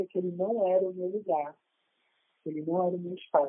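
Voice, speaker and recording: Music plays in the background as a man talks at a high pitch. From Rio de Janeiro, Brazil. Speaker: university professor. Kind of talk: casual chat. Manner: formal.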